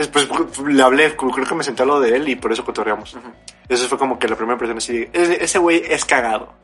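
A man with a Mexican accent talks at a very fast pace and medium pitch. His pitch varies in an ordinary way over noticeable background noise. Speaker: podcast co-host. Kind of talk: casual chat.

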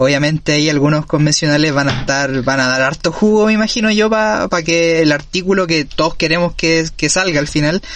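A man speaks with a Chilean accent. His pitch is high for a man, and his pace is fairly quick. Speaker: podcast host. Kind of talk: casual interview.

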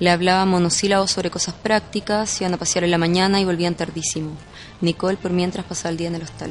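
A woman talks at a very fast pace in a fairly low pitch. Her intonation is monotone and flat. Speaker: podcast narrator. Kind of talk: scripted narration.

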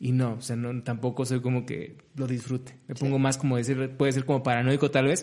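A man speaks at a medium pitch in a flat monotone, with hardly any pauses. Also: fairly quick pace. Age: 30s. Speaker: podcast co-host, digital creator. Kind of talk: casual chat.

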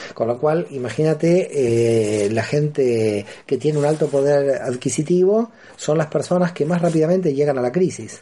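This man's voice has a dark, mellow tone, a fairly high pitch, lively intonation and very even loudness at a moderate pace. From Argentina, Buenos Aires. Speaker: philosophy professor and author on Kabbalah. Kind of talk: radio interview. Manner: hesitant fillers and repetitions.

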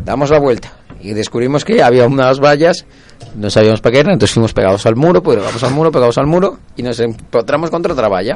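A man talks very fast over noticeable background noise. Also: medium pitch for a man, lively intonation. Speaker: football supporters' group radio host. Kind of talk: casual chat.

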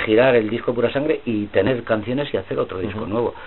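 A man speaks while noticeable background noise carries on. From Spain, Madrid (Carabanchel). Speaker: rock singer. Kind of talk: casual chat. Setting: office.

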